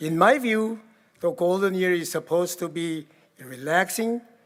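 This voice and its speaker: Here a man speaks with a Korean accent at a fairly slow pace. His pitch is high, with ordinary pitch variation. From Korea, rural village. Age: 80s+. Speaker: keynote speaker. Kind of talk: keynote speech. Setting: gala event with audience.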